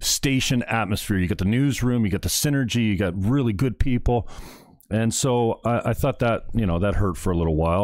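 A man's fairly low-pitched voice shows ordinary pitch variation. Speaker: online show host, former radio host; guest on a video call. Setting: home studio, video call.

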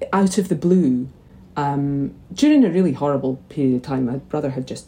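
Dark, mellow tone with a Scottish accent. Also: woman. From Scotland, St Andrews, Fife. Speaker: magazine editor. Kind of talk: interview. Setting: video call.

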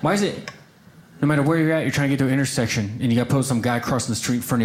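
Over noticeable background noise, a man with an American accent speaks at medium pitch with ordinary pitch variation. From small-town Oklahoma. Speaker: stand-up comedian. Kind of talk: stand-up.

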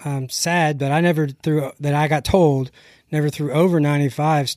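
A man with a plain, everyday voice speaks at a fairly high pitch with fairly even intonation and an American accent, on a very clean recording with a silent background and a dry, close sound with no echo. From Texas, later Ohio. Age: 40s. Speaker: pitching instructor, former pro baseball pitcher. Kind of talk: casual interview.

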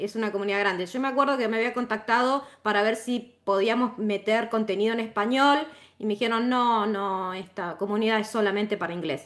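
A woman with an Argentine accent, fairly high in pitch, cheerful in tone, at a fairly quick pace with hardly any pauses and fairly even intonation. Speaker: tech instructor and community moderator. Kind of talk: casual chat. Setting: online audio room. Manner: cheerful, laughs often.

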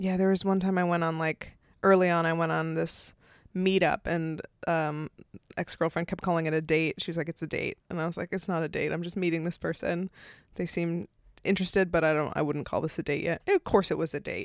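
Recorded very cleanly with a silent background and a dry, close sound with no echo, a woman speaks at a fairly quick pace in a fairly low, monotone voice with flat intonation. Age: 30s. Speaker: comedian. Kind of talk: casual chat. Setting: filmed in person. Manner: laughs often.

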